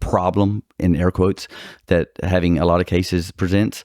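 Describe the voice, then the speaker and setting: Recorded very cleanly with a silent background and a dry, close sound with no echo, a man speaks at a fairly quick pace with a very deep, low pitch. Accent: Texas. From Texas. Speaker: personal injury attorney. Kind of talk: podcast interview. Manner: halting.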